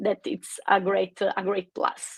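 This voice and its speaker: Recorded with a dry, close sound and no echo, the speaker has an Italian accent. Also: woman. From Italy. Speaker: recruiter. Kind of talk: webinar panel talk. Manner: halting, many fillers.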